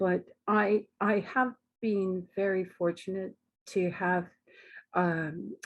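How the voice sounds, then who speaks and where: An ordinary speaking voice from a woman with a Canadian accent, fairly low pitch, and ordinary pitch variation. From Canada. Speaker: academic researcher, psychologist. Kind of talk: webinar talk. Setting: online webinar.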